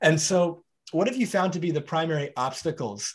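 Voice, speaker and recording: An ordinary speaking voice from a man, with ordinary pitch variation at a moderate pace, in a very clean recording with a silent background. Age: 30s. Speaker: podcast host. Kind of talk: interview.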